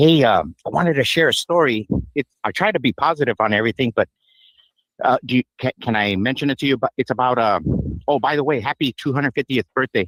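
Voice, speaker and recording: Very fast speech from a man with a Spanish accent sounds dry and close, with no echo. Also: medium pitch for a man, ordinary pitch variation. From Yuma, Arizona. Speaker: caller. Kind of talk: radio call-in. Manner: halting.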